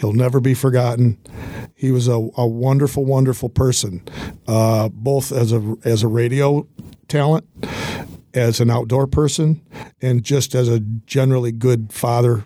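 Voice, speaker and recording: Over noticeable background noise, a man speaks at a medium pitch and moderate pace, his intonation fairly even, his loudness very even, with long, frequent pauses. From Michigan, Hillsdale. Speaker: business owner and sponsor. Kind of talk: casual interview. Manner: halting, repeats words.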